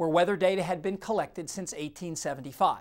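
A speaker with an American accent talks at a fairly quick pace on a very clean recording with a silent background. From Ohio. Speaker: TV weather presenter. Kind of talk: scripted narration.

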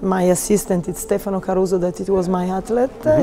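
A woman speaks with an Italian accent over light background noise. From Italy. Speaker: figure skating coach; ice dance coach. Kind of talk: interview. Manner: halting. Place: hall. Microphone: lapel.

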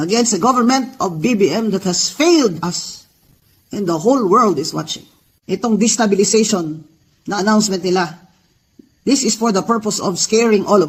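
A moderate pace and ordinary pitch variation in a man's high voice. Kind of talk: rally speech. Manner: fiery, defiant, rallying the crowd.

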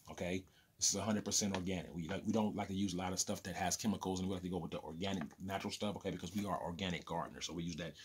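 A man's very deep, low voice with fairly even intonation over light background noise. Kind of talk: casual vlog chat. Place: home room. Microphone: phone near.

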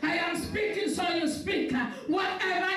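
Over music in the background and audible room echo, a woman with an extremely high pitch talks with ordinary pitch variation. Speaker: pastor. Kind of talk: sermon and fervent prayer. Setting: live stream church service. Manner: fervent, forceful, declaring prayer with rising intensity. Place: church.

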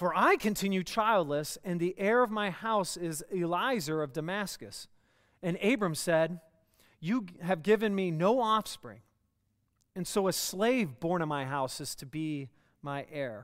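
Against a quiet background, the delivery is fairly slow in pace. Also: man. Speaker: church preacher. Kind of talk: scripture reading aloud. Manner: conversational, lightly joking. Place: church.

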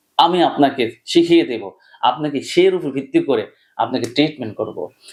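This man's voice swings very widely in pitch. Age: 40s. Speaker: homeopathic doctor. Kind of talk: direct-to-camera appeal. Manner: emphatic.

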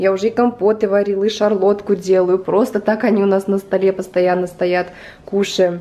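Amid light background noise, a woman talks at a moderate pace. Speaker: home vlogger. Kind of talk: casual vlog chat. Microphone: phone near.

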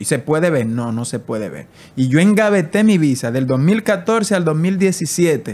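The pace is fairly slow, with very wide pitch swings. Loudness rises and falls in big swings. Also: man, fairly high pitch for a man. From Dominican Republic, San José de Ocoa; Dominican Republic. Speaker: immigration influencer. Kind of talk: casual interview. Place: home room. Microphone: studio mic.

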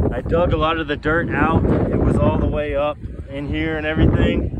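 Speech at a fairly quick pace comes through a dry sound with no echo over loud background noise. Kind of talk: casual vlog chat. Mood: shaken but relieved. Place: open country. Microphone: phone near.

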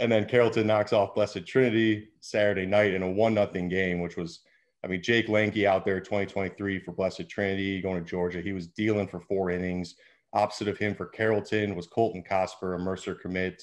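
Over a quiet background, a man talks at a moderate pace in a fairly low pitch with monotone, flat intonation. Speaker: baseball scout analyst. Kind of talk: commentary. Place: home room. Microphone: video call.

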